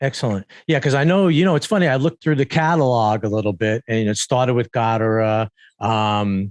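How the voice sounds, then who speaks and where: A man sounds animated, with lively intonation and a dry, close sound with no echo. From New York. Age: 60s. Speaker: podcast host. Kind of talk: interview.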